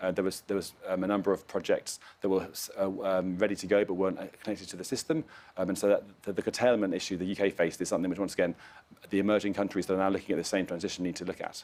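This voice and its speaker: Speaking at a very fast pace, a man talks with a British accent. His pitch is fairly low. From UK. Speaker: climate finance expert. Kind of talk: panel discussion. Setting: live event at climate conference. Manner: hesitant, many fillers.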